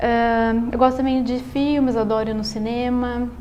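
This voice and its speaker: A woman talks at a moderate pace and a high pitch, with noticeable background noise behind her. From Brazil, São Paulo state (Salto). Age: 20s. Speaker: engineering student and amateur writer. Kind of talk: interview. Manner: halting, with repetitions.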